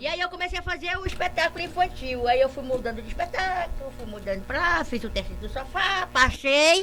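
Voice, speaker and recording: With an animated tone and lively intonation, a woman speaks at a fairly quick pace over noticeable background noise. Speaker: stage actor. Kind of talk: casual chat.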